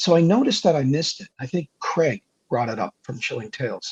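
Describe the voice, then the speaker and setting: A somewhat breathy man at a fairly quick pace, lively intonation, dry, close sound with no echo. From Canada. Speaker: horror story narrator. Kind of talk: interview. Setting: live stream interview.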